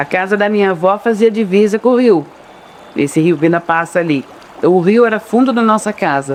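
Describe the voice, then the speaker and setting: A man with a high voice and ordinary pitch variation talks through noticeable background noise. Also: moderate pace. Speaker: local resident interviewee. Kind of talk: documentary interview testimony.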